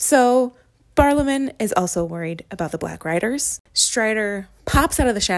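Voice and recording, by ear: The intonation runs lively while reading aloud in a natural voice.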